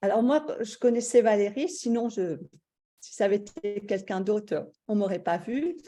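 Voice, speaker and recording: At a fairly slow pace, a woman with a fairly high pitch and a dark, mellow tone speaks with lively intonation and big swings in loudness on a very clean recording with a silent background. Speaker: stay-at-home mother, course participant. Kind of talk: testimony. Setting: live video stream.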